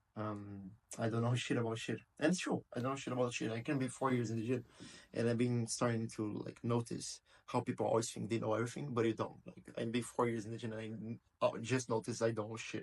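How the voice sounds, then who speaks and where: A man with a Portuguese accent speaks very fast at a medium pitch, keeping his intonation fairly even. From Brazil. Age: 20s. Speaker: video blogger. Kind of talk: casual monologue. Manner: unscripted, halting.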